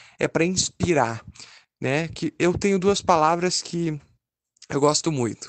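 A man's unremarkable speaking voice, fairly slow, with ordinary pitch variation and a dry, close sound with no echo. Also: quiet background. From southern Brazil, Caxias do Sul (Rio Grande do Sul). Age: 20s. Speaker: author and journalism student. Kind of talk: interview.

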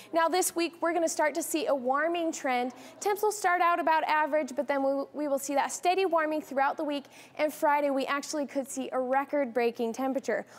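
A woman with an American accent speaks at a fairly quick pace and high pitch. Her tone is upbeat and energetic, with ordinary pitch variation. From Arizona, United States. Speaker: weathercaster. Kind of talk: TV weather forecast presentation. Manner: upbeat, energetic. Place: studio. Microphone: lapel.

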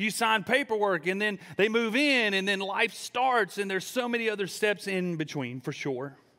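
A man's high, bright and sharp voice, raised and projected, animated in tone, with hardly any pauses against a quiet background. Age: 30s. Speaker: student pastor. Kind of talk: sermon. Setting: church service with live audience. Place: church. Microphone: headset.

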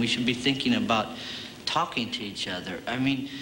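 Fairly quick pace from a man, light background noise behind him. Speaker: comedy show host. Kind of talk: scripted comedy banter. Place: stage.

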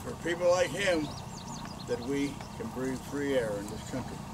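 A man with lively intonation at a moderate pace, clear background noise behind him. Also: medium pitch for a man.

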